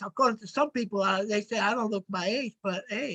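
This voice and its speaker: A man's raised, projected voice moves at a fairly quick pace. The sound is dry and close, with no echo. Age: 70s. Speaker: former prisoner, activist. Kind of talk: casual group discussion.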